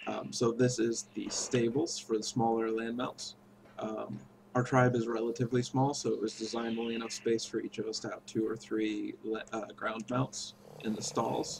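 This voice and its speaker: A man talks at a medium pitch. There is noticeable background noise. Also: moderate pace. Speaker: video game player. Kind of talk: gameplay tour narration. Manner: casual, hesitant.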